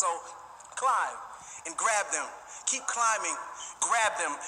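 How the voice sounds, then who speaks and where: Against noticeable background noise, a man with a high pitch speaks in a passionate tone at a moderate pace. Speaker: graduate giving a graduation spoken word speech, teacher. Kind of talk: spoken word poetry performance at a graduation ceremony. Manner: passionate, rhythmic, emphatic.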